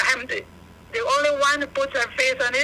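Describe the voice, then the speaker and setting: A woman's high-pitched, raised, projected voice with lively intonation, against noticeable background noise. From Belize. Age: 60s. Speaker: caller. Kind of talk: phone-in complaint.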